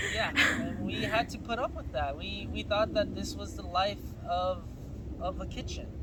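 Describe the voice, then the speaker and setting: A man talks at a moderate pace. Audible room echo and noticeable background noise are present. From California, Guatemalan family. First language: Spanish. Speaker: mailman. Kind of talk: casual interview chat.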